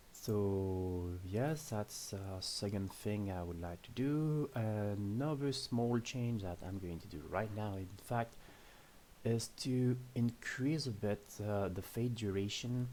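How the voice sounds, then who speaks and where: A man with a fairly low pitch and a dark, mellow tone talks at a very slow pace, his pitch varying in an ordinary way. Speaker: programming tutorial creator. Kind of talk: screen-recorded coding tutorial. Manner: hesitant, many fillers; uneven loudness.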